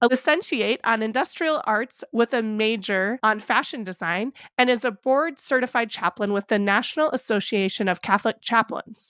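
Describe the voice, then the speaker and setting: An ordinary speaking voice moves at a moderate pace with ordinary pitch variation and hardly any pauses, in a dry, close recording with no echo and a quiet background. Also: woman, fairly high pitch for a woman. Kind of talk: podcast intro.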